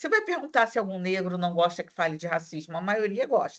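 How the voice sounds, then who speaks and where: A woman with a Rio de Janeiro accent speaks at a fairly quick pace. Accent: carioca. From Rio de Janeiro, Brazil. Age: 50s. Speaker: university lecturer. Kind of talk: online class discussion.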